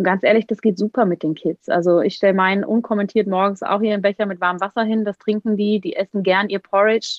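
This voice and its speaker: Words come at a very fast pace. The intonation is fairly even. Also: woman. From Bavaria, Germany. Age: 30s. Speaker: Ayurveda expert. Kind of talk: interview.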